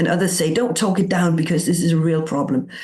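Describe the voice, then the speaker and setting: A woman's fairly low, somewhat breathy voice in a Danish accent, with audible room echo. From Denmark. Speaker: coaching teacher. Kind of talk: interview.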